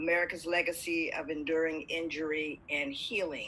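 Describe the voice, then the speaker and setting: Over light background noise, a woman speaks in a fairly low voice with a bright, sharp tone. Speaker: guest. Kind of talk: interview answer. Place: home room. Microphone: video call.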